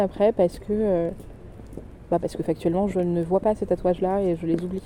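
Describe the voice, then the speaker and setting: This woman talks at a medium pitch with monotone, flat intonation. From southern France. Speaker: podcaster sharing her grief. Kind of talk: personal audio diary. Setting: outdoors in a cemetery.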